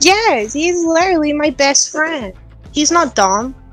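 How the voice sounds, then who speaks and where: The voice is a put-on character voice pitched high. It moves at a fairly slow pace with clear music in the background. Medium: role play. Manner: angry, combative.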